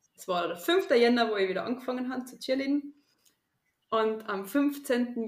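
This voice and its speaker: This woman's voice sits at a fairly high pitch, with ordinary pitch variation. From Austria, Tyrol. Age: 20s. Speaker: teacher and calisthenics athlete. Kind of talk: interview.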